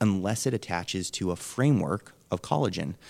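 A man talks in a normal speaking voice at a moderate pace, with fairly low pitch and ordinary pitch variation. The recording is very clean, with a silent background. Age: 30s. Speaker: nutritionist. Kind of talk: interview. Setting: radio show.

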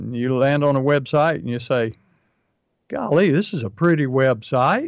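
Over a quiet background, a man speaks in an ordinary speaking voice at a fairly high pitch. His intonation is lively and his pace moderate. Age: 60s. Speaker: pest control marketing coach and podcast host. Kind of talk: casual business podcast chat.

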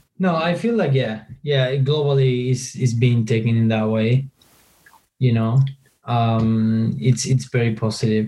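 A man's somewhat breathy, medium-pitched voice with a Spanish accent, ordinary pitch variation, very even loudness and a fairly slow pace. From Argentina, countryside. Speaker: marketing agency co-founder. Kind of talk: interview.

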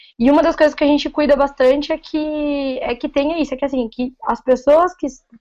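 Here a woman speaks in a caipira accent at a moderate pace. Her pitch is high. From interior of São Paulo state (Paulínia). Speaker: food engineer and novice writer. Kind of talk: casual chat.

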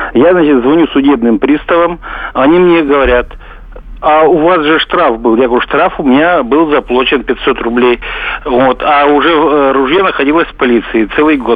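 A man with a fairly high pitch, ordinary pitch variation, very even loudness and a moderate pace, over noticeable background noise. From Russia, Tver. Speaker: radio caller. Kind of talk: phone-in question. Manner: rambling, filler-heavy.

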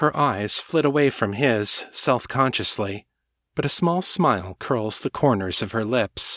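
In plain reading aloud with lively intonation, the voice comes through against a quiet background.

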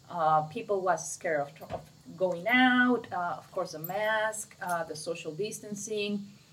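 Talking at a fairly slow pace in a Mexican accent, a woman's medium-pitched voice shows ordinary pitch variation and big swings in loudness. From Mexico. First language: Spanish. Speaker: winery co-owner. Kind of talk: casual chat.

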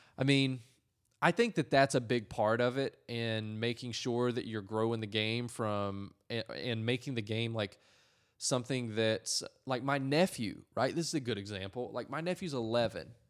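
On a very clean recording with a silent background, a man with an American accent speaks in a normal speaking voice at a moderate pace, with a medium pitch and ordinary pitch variation. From North Carolina. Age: 20s. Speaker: advertising and marketing professional. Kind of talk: casual chat. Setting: in the guest's apartment.

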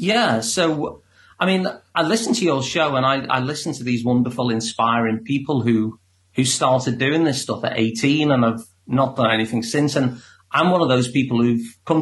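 A man with a Liverpool accent, medium pitch, somewhat breathy delivery, ordinary pitch variation and moderate pace. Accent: Liverpool (Scouse). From Liverpool, England. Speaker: psychotherapist. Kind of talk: interview.

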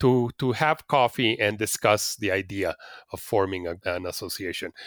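Lively intonation in a Spanish accent, at a fairly slow pace. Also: man, dry, close sound with no echo. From Mexico City. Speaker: nudism advocate. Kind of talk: interview. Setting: video call. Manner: halting.

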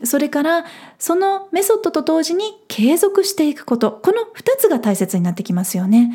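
Her pitch is high, with very wide pitch swings. The woman has a dark, mellow tone. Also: moderate pace. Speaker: podcast host. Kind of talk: solo podcast talk.

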